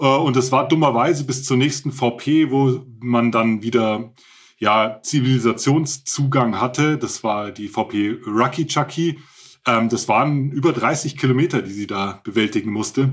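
A man's medium-pitched voice at a fairly slow pace, with ordinary pitch variation, on a very clean recording with a silent background. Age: 40s. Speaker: ultrarunner and author. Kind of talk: interview. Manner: hesitant, many filler sounds.

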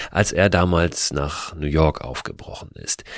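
His delivery comes at a fairly slow pace. Vocal fry runs through this man's voice. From Hamburg, Germany. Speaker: podcast host. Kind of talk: scripted narration.

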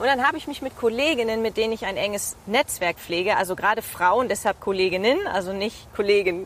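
Fairly quick pace from a woman, plus ordinary pitch variation. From East Frisia, northern Germany. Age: 30s. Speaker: TV presenter and reporter. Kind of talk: casual interview. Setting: outdoors, walking in a city park.

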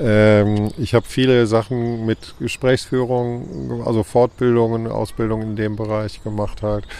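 Against noticeable background noise, a man speaks at a fairly low pitch and a fairly slow pace with fairly even intonation. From Cologne, Germany. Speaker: street food vendor. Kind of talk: casual interview. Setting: outdoor weekly market.

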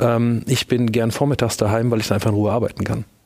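A man talks at a very fast pace. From Lower Franconia, Germany (near Würzburg). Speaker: lawyer, law firm partner. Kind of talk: panel discussion. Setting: stage.

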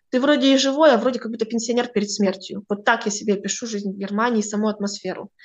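Her delivery is very fast, fairly high-pitched and fairly even in intonation, from a woman. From northern Kazakhstan. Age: 20s. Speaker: astrologer. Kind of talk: interview.

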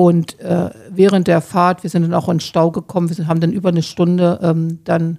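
A woman's fairly low, dark, mellow voice, monotone and flat, at a moderate pace. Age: 60s. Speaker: hospice volunteer. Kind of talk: interview. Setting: hospice room.

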